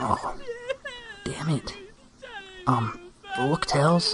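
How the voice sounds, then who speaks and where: A cartoonish character voice at a middle pitch. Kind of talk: comic parody cartoon acting. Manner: cocky, sarcastic, whiny.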